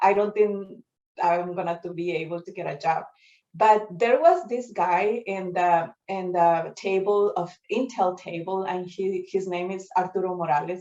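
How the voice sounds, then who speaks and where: At a fairly slow pace, a woman with a medium pitch and a dark, mellow tone talks with fairly even intonation and big swings in loudness. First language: Spanish. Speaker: tech engineer. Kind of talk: storytelling talk. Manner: halting, many fillers.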